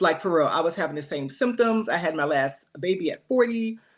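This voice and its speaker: In a normal speaking voice, a woman with a medium pitch talks at a moderate pace with lively intonation. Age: 40s. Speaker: nurse practitioner. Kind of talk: testimony.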